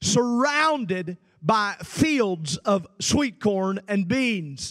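A man's animated, high-pitched voice with an American accent against a quiet background. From central Illinois. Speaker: preacher. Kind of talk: sermon. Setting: livestreamed youth camp service. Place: stage. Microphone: handheld.

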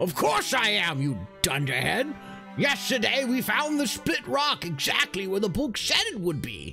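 Clear music plays in the background. Over it comes a put-on character voice at a middle pitch. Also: moderate pace. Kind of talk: comic fantasy character voice. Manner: excited, brusque, insulting.

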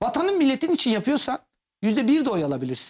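A man races along at a very fast pace, his pitch swinging very widely. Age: 40s. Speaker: political commentator. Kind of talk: TV political talk show.

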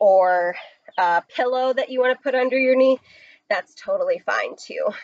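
A woman speaks at a high pitch and moderate pace with ordinary pitch variation. The sound is dry with no echo, and the background is quiet. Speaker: fitness instructor. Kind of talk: workout instruction. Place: garden.

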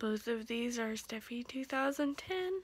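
A woman is speaking. The sound is dry, with no echo. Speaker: vlogger. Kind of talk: casual vlog chat. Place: home room. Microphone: phone near.

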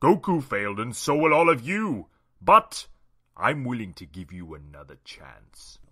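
A man performs a cartoonish character voice at medium pitch and a moderate pace, with very wide pitch swings and big swings in loudness. The recording is very clean, with a silent background. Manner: smug, menacing.

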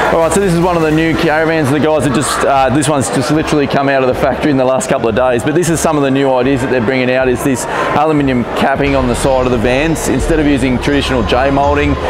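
Over loud background noise, a man speaks at a very fast pace with hardly any pauses. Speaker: vlogger presenter. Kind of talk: walkthrough commentary. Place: hall. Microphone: lapel.

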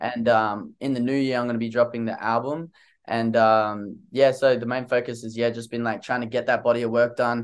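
A man's flat, monotone voice with an Australian accent at a fairly quick pace, over a quiet background. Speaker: singer-songwriter; interviewee. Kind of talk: interview. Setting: video call. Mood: relaxed, friendly. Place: home room. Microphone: studio mic.

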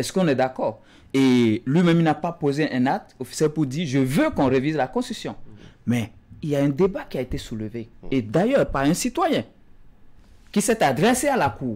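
The speaker leaves long, frequent pauses while using lively intonation. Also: man, fairly high pitch for a man. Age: young. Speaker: politician. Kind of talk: political talk show debate. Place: studio.

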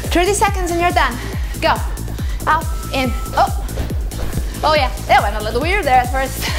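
Clear background music behind a woman's moderately paced speech. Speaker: fitness instructor. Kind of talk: workout instruction. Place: empty room.

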